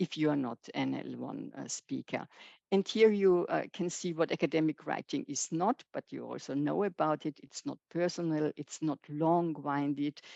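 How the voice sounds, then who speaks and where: A woman talks at a moderate pace. The sound is dry and close with no echo, over a quiet background. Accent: German. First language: German. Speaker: professor. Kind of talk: lecture. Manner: halting, many fillers.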